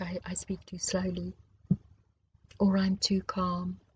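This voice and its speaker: Her voice sits at a medium pitch, with a dark, mellow tone, a somewhat breathy quality and monotone, flat intonation. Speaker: spiritual teacher. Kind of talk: personal monologue. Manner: slow; calm, gentle.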